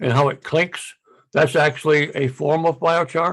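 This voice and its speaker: The intonation is monotone and flat. A man delivers it at a moderate pace. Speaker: farm manager teaching gardening. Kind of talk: online presentation and Q&A. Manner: halting, many fillers and repeats.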